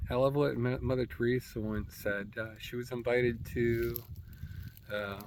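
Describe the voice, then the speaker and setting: Monotone, flat speech at a moderate pace with audible room echo. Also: man, medium pitch for a man. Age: 60s. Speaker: military veteran, self-help vlogger. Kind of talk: casual reflective vlog monologue. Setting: outdoors in nature. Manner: halting, repetitive stumbling speech.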